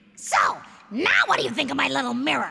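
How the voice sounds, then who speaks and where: A woman's cartoonish character voice at a fairly quick pace. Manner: theatrical, sarcastic.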